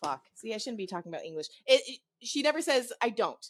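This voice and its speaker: On a very clean recording with a silent background, the speaker uses a northern US accent and very wide pitch swings at a fairly quick pace. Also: woman. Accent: northern US accent, learned. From US South. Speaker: podcast co-host. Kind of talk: casual chat.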